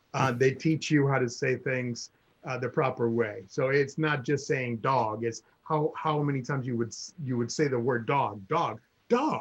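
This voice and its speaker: A man's somewhat breathy, medium-pitched voice moves at a moderate pace, his intonation fairly even. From Cuba. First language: Spanish. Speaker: guest sharing life story. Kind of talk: casual chat. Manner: halting.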